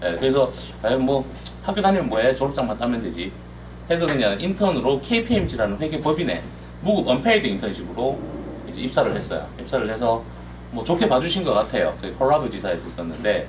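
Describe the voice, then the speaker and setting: In a room with audible echo, a man speaks at a very fast pace. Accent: Gyeongsang. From South Korea, Daegu (Gyeongsang). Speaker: overseas employment consultant. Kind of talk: presentation seminar.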